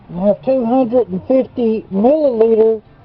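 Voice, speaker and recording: Music sits in the background while the speech proceeds at a moderate pace. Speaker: hobbyist gold refiner. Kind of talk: tutorial. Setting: outdoors.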